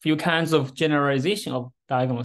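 A man's voice at a moderate pace with fairly even intonation. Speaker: speaker. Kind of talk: lecture.

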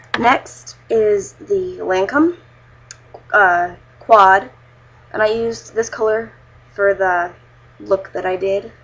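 With long, frequent pauses, a woman speaks very slowly at medium pitch with ordinary pitch variation, and noticeable background noise is present. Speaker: beauty vlogger. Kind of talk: makeup tutorial review. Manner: casual, filler-heavy.

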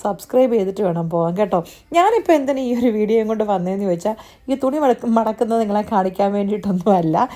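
A woman speaks with a fairly high pitch and a dark, mellow tone. Her intonation is lively. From Kerala, Kottayam. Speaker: vlogger and nurse. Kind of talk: casual vlog monologue.

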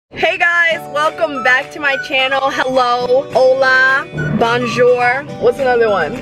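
A woman's raised, projected voice at a very slow pace with ordinary pitch variation, dry with no echo, over clear music in the background. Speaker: vlogger. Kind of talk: casual vlog chat. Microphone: phone near.

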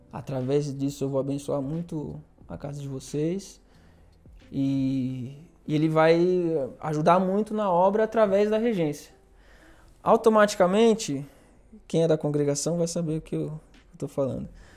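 A man speaks at a fairly slow pace with ordinary pitch variation. He leaves long, frequent pauses. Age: 30s. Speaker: orchestra conductor and violist; guest. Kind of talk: casual chat. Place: studio. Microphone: lapel.

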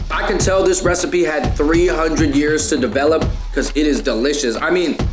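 A man speaks with clear music in the background. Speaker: food vlogger. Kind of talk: casual vlog chat.

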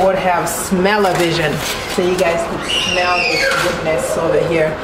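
A woman talks at a moderate pace. Loud noise fills the background. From Haiti. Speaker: cooking channel host. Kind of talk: cooking tutorial. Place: kitchen. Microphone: phone near.

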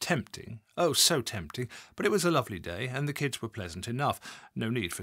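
The clip carries an unforced reading voice.

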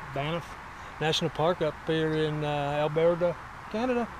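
Loud background noise surrounds a man's voice, recorded dry with no echo. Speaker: travel vlogger. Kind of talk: casual vlog chat. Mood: relaxed, admiring. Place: open country. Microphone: phone near.

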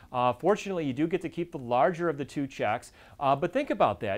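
The man talks at a very fast pace. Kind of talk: educational presentation. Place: office. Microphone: lapel.

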